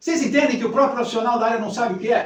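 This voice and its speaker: A man's extremely high voice at a very fast pace, with ordinary pitch variation and audible room echo. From Brazil, Rio de Janeiro. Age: 60s. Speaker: psychologist. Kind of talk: talk to a women's group.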